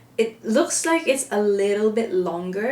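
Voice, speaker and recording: A woman with a Filipino accent speaks at a very slow pace. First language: Filipino (Hiligaynon/Ilonggo, Tagalog). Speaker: makeup vlogger. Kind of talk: makeup tutorial. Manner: casual, chatty with some searching for words.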